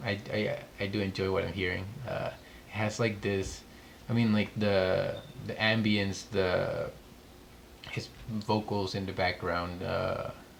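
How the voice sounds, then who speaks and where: In a room with audible echo, a man speaks at a fairly slow pace with long, frequent pauses. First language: not English. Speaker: music reaction youtuber. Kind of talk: music reaction commentary. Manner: casual, many filler words.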